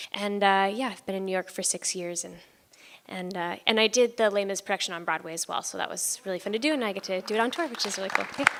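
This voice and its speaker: A woman with an American accent speaks at a very fast pace, her pitch medium and its variation ordinary. Noticeable background noise runs underneath. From Southern California. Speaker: musical theater actor. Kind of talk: panel Q&A talk.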